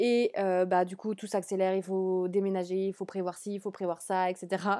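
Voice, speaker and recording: In a very clean recording with a silent background, a woman talks at a fairly slow pace in a dark, mellow tone. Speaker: tarot reader. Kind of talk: tarot card reading.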